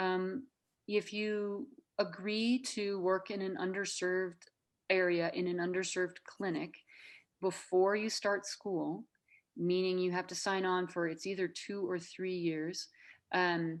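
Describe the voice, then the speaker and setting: In an American accent, a woman with an ordinary speaking voice talks at a fairly slow pace with a medium pitch and fairly even intonation over a quiet background. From Minnesota. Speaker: nurse practitioner. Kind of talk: interview.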